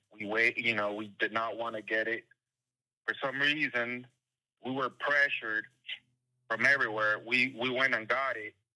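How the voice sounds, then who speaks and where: With long, frequent pauses at a moderate pace, a man talks in a medium-pitched voice that has a bright, sharp tone and fairly even intonation. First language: Spanish. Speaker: caller. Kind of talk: phone call.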